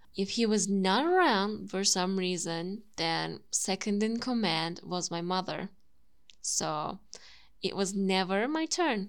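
A woman with a Turkish accent speaks at a very slow pace. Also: medium pitch for a woman, ordinary pitch variation. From Turkey. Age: 20s. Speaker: YouTuber and language content creator. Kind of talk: monologue podcast.

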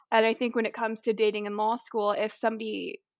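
A woman with an American accent and a normal speaking voice talks at a fairly quick pace with a fairly high pitch and fairly even intonation. The recording is very clean, the background silent. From Florida (Tampa). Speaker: law student. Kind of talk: casual interview.

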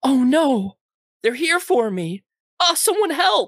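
A female-sounding put-on character voice sits at a high pitch with very wide pitch swings. It moves at a fairly slow pace. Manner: dramatic, pleading.

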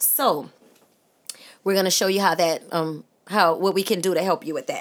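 Here is a woman's voice. She speaks with a New Orleans accent. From New Orleans, uptown. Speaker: teacher and podcast co-host. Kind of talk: casual chat.

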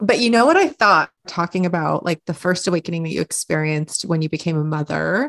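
A woman's fairly low voice with ordinary pitch variation, recorded dry and close with no echo. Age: 40s. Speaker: podcast host. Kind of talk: casual chat; scripted narration. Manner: animated.

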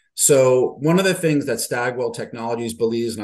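Pitch variation here is ordinary. It is an ordinary speaking voice. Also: man. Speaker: interviewer. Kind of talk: interview.

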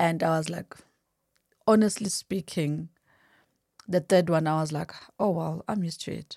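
A woman's fairly low, dark, mellow voice with fairly even intonation and long, frequent pauses, in a very clean recording with a silent background and a dry, close sound with no echo. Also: moderate pace. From South Africa, KwaZulu-Natal (Durban, Umlazi). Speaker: mother sharing loss story. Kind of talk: personal testimony in interview.

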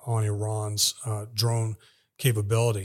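In a very clean recording with a silent background, a man with an American accent speaks in a monotone, flat, somewhat breathy voice. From Texas, El Paso. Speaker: intelligence analyst and military veteran. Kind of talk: interview.

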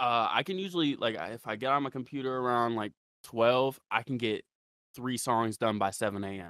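A plain, everyday voice with an American accent speaks at a moderate pace with ordinary pitch variation. The recording is very clean, with a silent background and a dry, close sound with no echo. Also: man, medium pitch for a man. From Ohio, Ravenna. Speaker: underground rapper. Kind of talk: casual interview chat.

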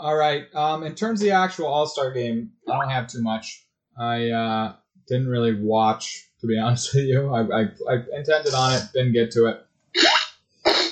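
With a plain, everyday voice, a man talks at a medium pitch and a fairly slow pace, his pitch varying in an ordinary way. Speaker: sports podcast host. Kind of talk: casual chat.

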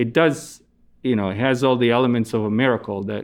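This is a man with an Italian accent. His pitch sits in the medium range. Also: quiet background. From Italy. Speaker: astronomer. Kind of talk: interview.

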